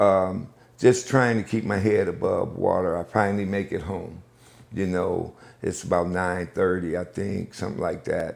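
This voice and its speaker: A man with an American accent talks at a moderate pace in a fairly low pitch, with fairly even intonation and an unremarkable speaking voice. The recording is very clean, with a silent background. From US Northeast, Buffalo, New York. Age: 60s. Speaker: pastor and community liaison. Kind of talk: interview.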